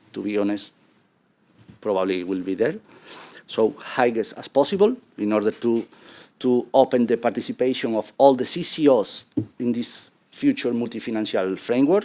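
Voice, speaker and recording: A man with a Spanish accent speaks at a medium pitch and a moderate pace in a dark, mellow tone, with ordinary pitch variation, big swings in loudness and long, frequent pauses. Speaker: conference panelist on Roma inclusion. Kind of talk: conference presentation with slides. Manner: halting.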